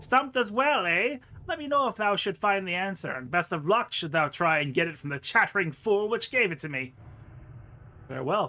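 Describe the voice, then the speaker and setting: The speaker uses a put-on character voice at a middle pitch. The delivery moves at a fairly quick pace. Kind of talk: archaic thee-and-thou speech. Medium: game stream. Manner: fussy, exasperated.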